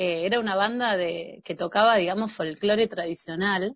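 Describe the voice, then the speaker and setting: This woman speaks in a medium pitch with a Rioplatense accent. Her pitch varies in an ordinary way. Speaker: podcast host. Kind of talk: casual chat.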